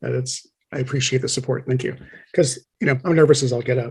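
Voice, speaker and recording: At a fairly quick pace, a man talks in a medium pitch with a somewhat breathy sound. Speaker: Masonic lecturer. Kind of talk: lecture. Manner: fast.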